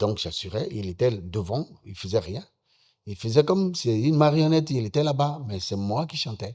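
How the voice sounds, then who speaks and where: A man talks at a fairly slow pace with very wide pitch swings on a very clean recording with a silent background. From Benin, Ouémé valley. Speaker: musician. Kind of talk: interview.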